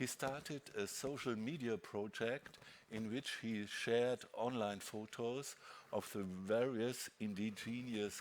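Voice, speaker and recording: This man talks at a fairly slow pace, keeping a medium pitch and fairly even intonation. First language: not English (prepared in French). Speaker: moderator. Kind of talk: panel discussion moderation. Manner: hesitant.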